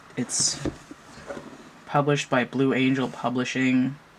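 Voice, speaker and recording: Noticeable background noise fills the clip. A woman speaks through it at a moderate pace. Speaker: tarot reader and deck reviewer. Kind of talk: product review. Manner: casual, conversational.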